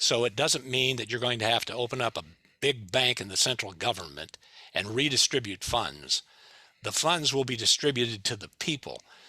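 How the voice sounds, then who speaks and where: A man's bright, sharp tone with vocal fry, medium pitch and ordinary pitch variation, at a moderate pace, in a dry, close sound with no echo. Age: 70s. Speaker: retired TV journalist, climate speaker. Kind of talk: talk with Q&A. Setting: Zoom meeting.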